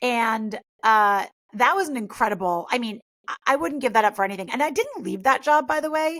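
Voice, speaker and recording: A woman has an ordinary speaking voice with fairly high pitch. She talks at a fairly quick pace with lively intonation. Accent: American. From US Northeast (Westchester NY, Greenwich CT). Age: 40s. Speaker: mindset coach and influencer. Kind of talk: interview.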